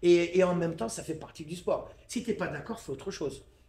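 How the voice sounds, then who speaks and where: Quick-paced and high-pitched, a man speaks with lively intonation. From Paris suburbs, France (La Courneuve, Seine-Saint-Denis). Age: 60s. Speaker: Muay Thai coach. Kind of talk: casual interview. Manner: animated, repeats words when starting.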